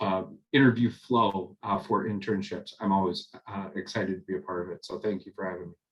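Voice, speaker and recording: A man with a Minnesotan accent, fairly low in pitch, at a fairly quick pace with fairly even intonation. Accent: Minnesota. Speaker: corporate recruiter. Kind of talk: panel talk. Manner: many fillers.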